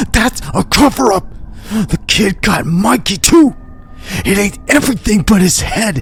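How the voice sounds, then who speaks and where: In a put-on character voice, a man speaks fairly slowly with a high pitch and lively intonation, over light background noise and hissing. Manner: hissing, frantic.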